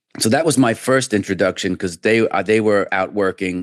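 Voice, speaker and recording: A man with a fairly low pitch speaks at a moderate pace in a New York accent. The sound is dry and close with no echo, over a quiet background. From New York, about an hour north of Manhattan. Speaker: trader. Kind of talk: interview conversation.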